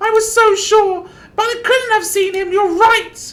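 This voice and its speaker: In a put-on character voice, a woman speaks at a moderate pace, squeaky and extremely high-pitched, with monotone, flat intonation. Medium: game stream. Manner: tearful, emotional outbursts.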